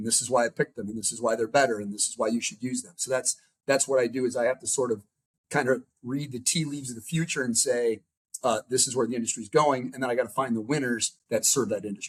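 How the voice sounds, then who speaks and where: With an American accent, a man talks at a very fast pace, somewhat breathy, his loudness swinging widely. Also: medium pitch for a man. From US Midwest, Chicago. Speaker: venture capital investor and startup founder. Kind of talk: podcast interview. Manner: animated, casual.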